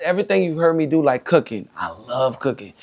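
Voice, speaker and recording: Man at a fairly quick pace with ordinary pitch variation, on a very clean recording with a silent background. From New Orleans, US South. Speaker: comedian and social media creator. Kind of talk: podcast interview. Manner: animated.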